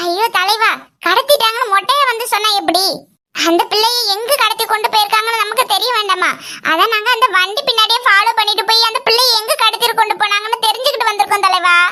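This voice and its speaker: A cartoonish character voice squeals at an extremely high pitch. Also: moderate pace. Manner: wheedling, repeats the word for boss.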